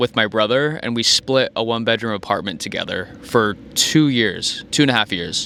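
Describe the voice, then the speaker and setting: A plain, everyday voice from a man, medium in pitch with ordinary variation, at a fairly quick pace. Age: 20s. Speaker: vlogger. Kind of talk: casual monologue.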